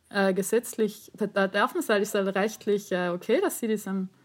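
At a fairly slow pace, a woman speaks in an ordinary speaking voice with a medium pitch and ordinary pitch variation. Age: 30s. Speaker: teacher. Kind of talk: casual chat.

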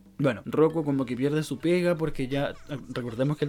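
A man with a Chilean accent talks at a fairly quick pace, his pitch fairly high and its variation ordinary. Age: 20s. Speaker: podcast host. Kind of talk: casual chat. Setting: home recording.

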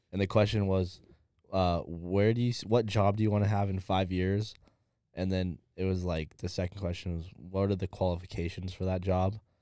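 A man with an American accent speaks at a moderate pace in a very deep, low pitch and a dark, mellow tone. His intonation stays monotone and flat on a very clean recording with a silent background. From Southern California. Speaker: podcast co-host. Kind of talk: casual chat. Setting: studio.

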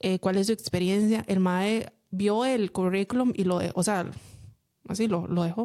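The woman's voice has a dark, mellow tone at medium pitch, with fairly even intonation. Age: 30s. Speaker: podcast co-host. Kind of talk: casual chat.

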